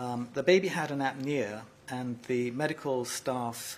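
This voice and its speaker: A man speaks in a British accent. His pitch sits in the medium range. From United Kingdom. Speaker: neonatologist. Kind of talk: press conference.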